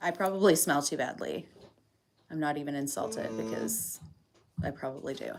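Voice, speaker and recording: A woman's very deep, low voice in a Canadian accent, animated and full of vocal fry, with very wide pitch swings, a moderate pace and long, frequent pauses. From Ontario, Canada. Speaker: farm livestreamer. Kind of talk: casual livestream chat. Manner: chatty, animated.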